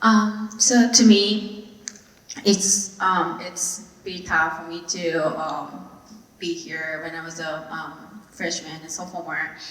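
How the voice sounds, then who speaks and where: A woman with a fairly low pitch speaks at a very slow pace, with ordinary pitch variation, big swings in loudness, audible room echo and noticeable background noise. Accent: Japanese. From Japan. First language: Japanese. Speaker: aviation student, club president. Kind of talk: panel discussion. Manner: halting.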